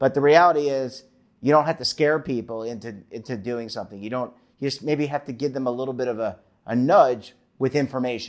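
A man with a medium-pitched, ordinary speaking voice talks at a fairly quick pace with ordinary pitch variation. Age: 50s. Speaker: financial show host. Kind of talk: interview.

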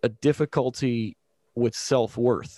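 A man speaks in a normal speaking voice at a medium pitch. His intonation is fairly even, and the sound is dry and close with no echo. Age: 30s. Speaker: church podcast host. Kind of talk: casual religious discussion.

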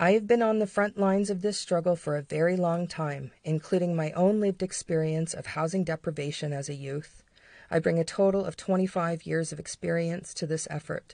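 A woman with a fairly low pitch and a dark, mellow tone speaks at a fairly quick pace over a quiet background. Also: ordinary pitch variation. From Canada. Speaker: podcast co-host. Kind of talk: reading aloud an emotional protest speech, then personal reflection.

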